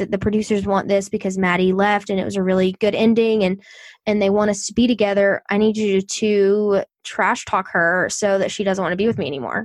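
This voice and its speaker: Over a silent background in a very clean recording, a woman speaks at a medium pitch and a fairly quick pace. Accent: Southern US. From US South. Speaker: podcaster. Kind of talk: casual chat.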